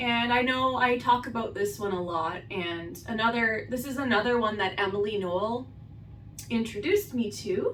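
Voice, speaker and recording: A woman talks at a fairly slow pace with lively intonation, and audible room echo surrounds her voice. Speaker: beauty vlogger. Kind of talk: makeup tutorial. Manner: casual, filler-heavy. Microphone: far from the camera.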